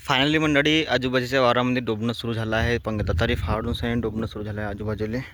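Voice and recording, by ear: A man speaks fast in a fairly bright tone. His pitch moves little. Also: medium pitch for a man.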